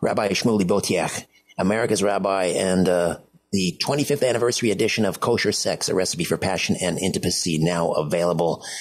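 Against a quiet background, a man speaks with a Canadian accent in a very deep, low pitch. His loudness stays very even and his pitch varies in an ordinary way. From Canada. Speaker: radio host. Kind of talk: radio interview. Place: studio.

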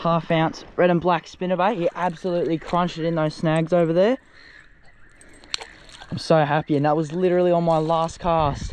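A man with a high pitch speaks at a moderate pace in a monotone, flat intonation, with long, frequent pauses. The sound is dry with no echo, with light background noise. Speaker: fishing vlogger. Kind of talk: casual vlog chat. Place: waterside. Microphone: phone near.

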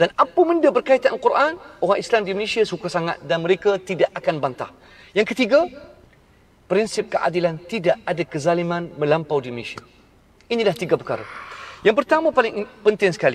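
A man speaks at a high pitch and a fairly quick pace, with very wide pitch swings. The sound is dry with no echo, over light background noise. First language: Arabic (speaking Malay). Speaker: Islamic preacher. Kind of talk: religious lecture. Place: car. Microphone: phone near.

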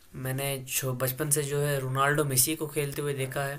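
This man has a bright, sharp tone and a fairly high pitch. He speaks at a fairly slow pace. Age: 20s. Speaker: vlogger. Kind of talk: casual vlog monologue. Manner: halting. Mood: somber, tribute talk. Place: home room. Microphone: phone near.

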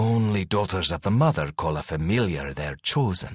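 A man puts on a character voice with a very deep, low pitch, keeping to a moderate pace. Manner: proud, disdainful, archaic.

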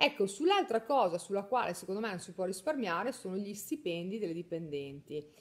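A woman speaks at a medium pitch and a fairly quick pace, with hardly any pauses. Her pitch swings very widely, and her loudness rises and falls a lot. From northern Italy, Mantua; northern Italy. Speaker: beauty salon owner and trainer; trainer. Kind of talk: live stream chat. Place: home room. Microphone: phone near.

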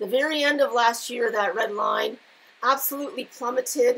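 The woman's fairly high voice has a fairly bright tone, a slightly husky edge and some vocal fry. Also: ordinary pitch variation, moderate pace.

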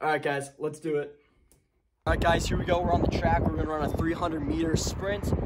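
A man talks over loud background noise. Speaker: fitness vlogger. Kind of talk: casual vlog chat.

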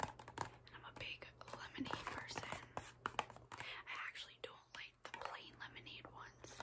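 Someone whispers at a fairly slow pace over noticeable background noise. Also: woman. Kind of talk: ASMR haul talk to camera. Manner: whispered, soft-spoken.

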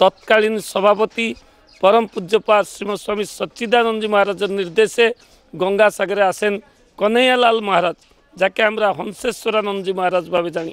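A man with a high voice and fairly even intonation, recorded with a dry sound and no echo. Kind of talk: interview answer. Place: garden. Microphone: handheld.

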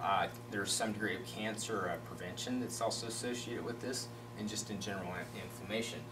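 A man talking at a very fast pace over noticeable background noise. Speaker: company executive. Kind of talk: casual interview chat. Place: meeting room.

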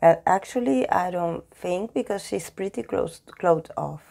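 Very cleanly recorded over a silent background, a woman speaks fairly slowly in a Spanish accent. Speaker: tarot reader. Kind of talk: tarot reading talk to camera.

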